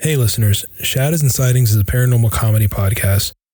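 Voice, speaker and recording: A man's somewhat breathy, medium-pitched voice with a dark, mellow tone, fairly even intonation and a fairly quick pace. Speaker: podcast co-host. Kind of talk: podcast intro disclaimer.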